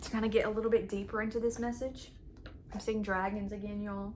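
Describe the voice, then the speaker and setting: Room echo is audible as a woman talks at a very fast pace. Her pitch is fairly high. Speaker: channeled message and tarot reader. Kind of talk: spiritual channeling reading, casual talk to viewers. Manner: excited, animated, many fillers; fast, trails off and restarts.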